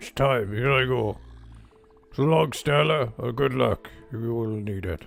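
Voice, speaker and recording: A man puts on a character voice at a medium pitch, over faint music in the background. He talks at a fairly slow pace with long, frequent pauses. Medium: game stream. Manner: solemn, grandiose.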